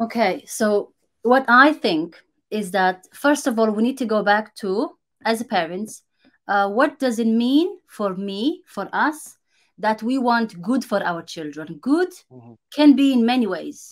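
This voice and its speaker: Against a quiet background, a woman with a Romanian accent and a fairly high pitch speaks at a fairly slow pace, her loudness swinging widely. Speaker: content creator. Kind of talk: casual interview. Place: home room. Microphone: video call.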